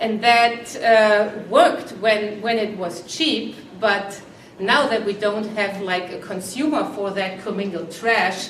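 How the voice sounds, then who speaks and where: In a room with audible echo and noticeable background noise, a woman speaks at a very slow pace with a fairly high pitch and ordinary pitch variation. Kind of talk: interview. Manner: halting.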